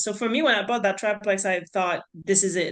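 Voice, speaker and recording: This woman speaks with a French accent. Her pitch is medium, with ordinary variation. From France, near Swiss border. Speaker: real estate investor. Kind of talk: podcast interview.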